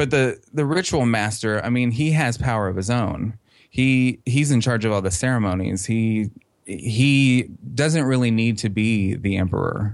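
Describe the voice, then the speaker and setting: Keeping a very even loudness, a man speaks at a moderate pace and medium pitch with ordinary pitch variation in a normal speaking voice. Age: 30s. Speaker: fan website creator. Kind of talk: interview.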